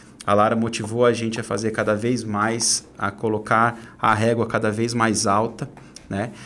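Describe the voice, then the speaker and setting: Keeping to a monotone, flat intonation, a man speaks at a medium pitch and a fairly slow pace. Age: 30s. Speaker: entrepreneur and personal development coach. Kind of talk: casual interview chat.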